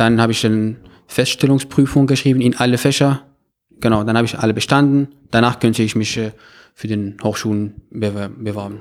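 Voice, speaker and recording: A man's medium-pitched voice at a fairly quick pace, with fairly even intonation and long, frequent pauses. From Morocco, Meknes. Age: 20s. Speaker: university student. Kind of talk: interview. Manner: halting, many filler sounds.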